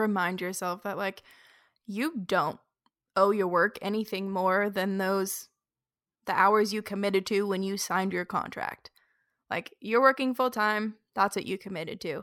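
On a very clean recording with a silent background, a woman with a normal speaking voice talks at a medium pitch and a moderate pace with fairly even intonation. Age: 20s. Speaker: podcast co-host. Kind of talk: casual chat.

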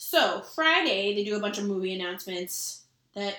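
Her tone is animated and her pitch fairly high for a woman. She talks at a fairly quick pace. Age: 30s. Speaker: podcast co-host. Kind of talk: casual chat. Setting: evening, drinking cocktails. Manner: animated, chatty.

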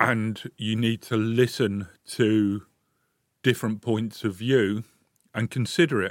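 In a dry, close sound with no echo, a man speaks at a medium pitch and a very slow pace, with fairly even intonation and long, frequent pauses. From London. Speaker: local councillor. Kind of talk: radio interview. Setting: studio.

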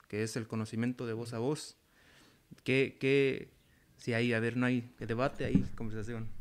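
A medium-pitched man at a fairly slow pace, monotone and flat, with long, frequent pauses, on a very clean recording with a silent background. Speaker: community organizer and artist. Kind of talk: casual panel discussion.

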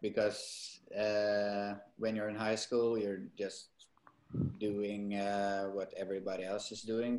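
A man with a fairly low voice. He speaks with a Norwegian accent. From Norway. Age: 30s. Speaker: actor. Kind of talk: interview. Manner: halting.

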